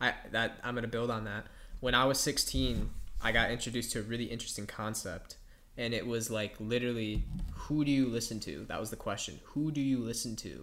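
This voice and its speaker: Amid audible room echo, a man speaks at a fairly quick pace in a bright, sharp tone. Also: medium pitch for a man. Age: 20s. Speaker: podcast host. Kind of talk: casual chat. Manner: animated.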